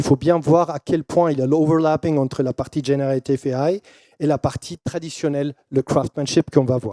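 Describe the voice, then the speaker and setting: Dry and close with no echo, a man with a dark, mellow tone and a non-native accent speaks at a moderate pace with ordinary pitch variation. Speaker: keynote speaker, brand and AI consultant. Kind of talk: keynote presentation. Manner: halting, many fillers and repetitions.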